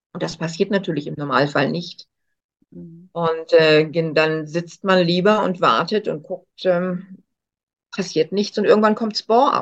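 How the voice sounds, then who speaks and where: A woman speaks at a very slow pace in a fairly low pitch. Her pitch variation is ordinary. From northern Germany, Hamburg. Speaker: coach and speaker. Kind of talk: interview.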